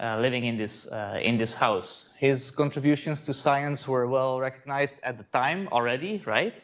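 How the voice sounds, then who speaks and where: A man with a Dutch accent talks at a moderate pace and medium pitch, with ordinary pitch variation and hardly any pauses. The recording is very clean, with a silent background. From Netherlands, Voorburg (South Holland). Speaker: astronomy lecturer. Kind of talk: conference talk. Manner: hesitant, many fillers and repeats.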